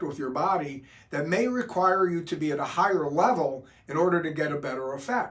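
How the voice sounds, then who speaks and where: A man talks at a fairly quick pace in a fairly high pitch. Noticeable background noise and audible room echo are in the recording. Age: 60s. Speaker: doctor explaining hormone therapy. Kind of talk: explanatory talk to camera.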